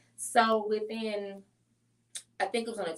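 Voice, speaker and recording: Here a woman speaks at a medium pitch. She talks in a St. Louis accent. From St. Louis, Missouri, US Midwest. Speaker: business consultant and grant writer. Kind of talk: podcast interview. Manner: energetic.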